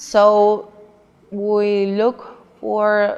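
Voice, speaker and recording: Her pitch medium, a woman talks with a Mexican accent. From Mexico, Nuevo Laredo, Tamaulipas. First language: Spanish. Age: 30s. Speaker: immigrant job seeker, interviewee. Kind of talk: documentary interview.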